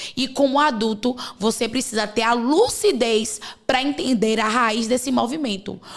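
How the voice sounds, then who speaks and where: Speaking fairly slowly with a Bahian accent, a woman uses a high voice and fairly even intonation. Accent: Bahian Brazilian Portuguese. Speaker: podcast host, women's coach. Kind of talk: podcast conversation.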